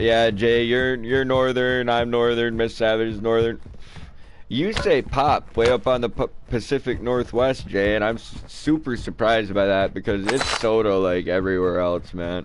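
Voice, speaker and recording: A man with an American accent, ordinary pitch variation, and noticeable background noise. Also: medium pitch for a man, moderate pace. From Michigan. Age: 20s. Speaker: gaming streamer. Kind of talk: casual chat. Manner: animated.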